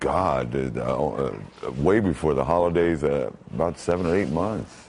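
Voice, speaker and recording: A man with a very deep, low, resonant voice speaks at a fairly slow pace, his intonation lively and his loudness very even. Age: 50s. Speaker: voice actor. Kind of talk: live TV interview answer.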